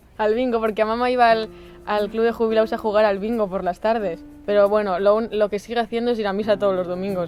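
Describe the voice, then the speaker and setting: Backed by music, a woman with a fairly high voice talks at a very fast pace with fairly even intonation. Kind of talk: casual talk to camera.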